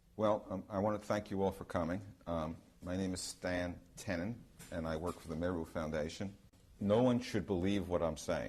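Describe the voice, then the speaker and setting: A man speaks with a very deep, low pitch. His pitch varies in an ordinary way. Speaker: researcher giving a talk. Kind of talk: lecture to an audience. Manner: fast; hesitant, many ums.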